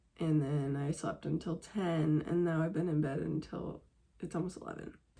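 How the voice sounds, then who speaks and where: This woman has an ordinary speaking voice, pitched fairly low, and her pitch varies in an ordinary way. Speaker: vlogger. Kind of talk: casual vlog talk. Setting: at home. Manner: casual, filler-heavy.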